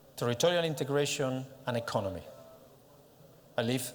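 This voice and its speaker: The speaker has a Catalan accent and a fairly quick pace. Pitch variation is ordinary. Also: man. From Catalonia, Spain (Barcelona area). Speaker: director of a regional organization. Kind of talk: conference presentation. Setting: stage with audience at a congress. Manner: halting, with many fillers.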